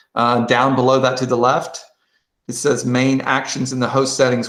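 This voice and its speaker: With audible room echo, a man talks at a moderate pace. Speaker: quiz bowl coach and trainer; presenter training coaches. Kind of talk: tutorial. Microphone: video call.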